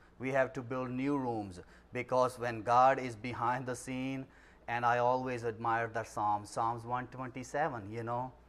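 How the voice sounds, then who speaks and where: At a fairly slow pace, a man speaks at medium pitch with monotone, flat intonation. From Pakistan (Punjab). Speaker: pastor and missionary. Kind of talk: missions presentation; prayer.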